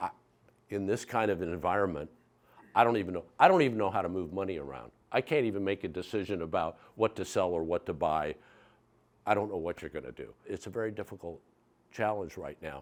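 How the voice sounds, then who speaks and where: Very deep and low in pitch, a man talks at a very fast pace with ordinary pitch variation and long, frequent pauses, on a very clean recording with a silent background. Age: 70s. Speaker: entrepreneur and former Air Force pilot giving a talk to business students. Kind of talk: talk with student Q&A. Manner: conversational with frequent fillers.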